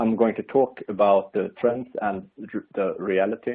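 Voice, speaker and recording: A man with a Swedish accent talks at a moderate pace. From Sweden. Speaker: industry expert presenter. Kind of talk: webinar presentation. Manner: halting, many fillers.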